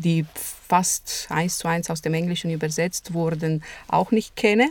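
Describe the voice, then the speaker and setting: A woman's fairly low voice in a Romanian accent, at a very slow pace. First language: Romanian (speaking German). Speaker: translator and interpreter, lecturer. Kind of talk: interview.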